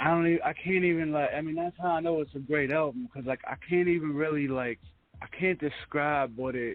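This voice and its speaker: The voice belongs to a man with a fairly high pitch. He speaks at a moderate pace. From Pittsburgh, Pennsylvania. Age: 30s. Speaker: radio host. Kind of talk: casual interview. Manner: halting, filler-heavy.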